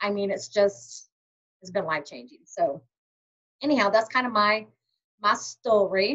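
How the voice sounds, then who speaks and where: A woman's medium-pitched voice with big swings in loudness and long, frequent pauses. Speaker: direct sales team leader. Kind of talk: training webinar. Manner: fast.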